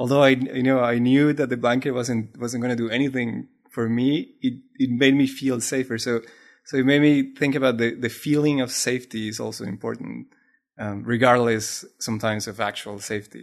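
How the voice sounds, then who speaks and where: This man speaks with a Spanish accent and a fairly even intonation. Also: medium pitch for a man, moderate pace. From Colombia. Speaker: maker and artist. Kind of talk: casual chat. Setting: remote call from home.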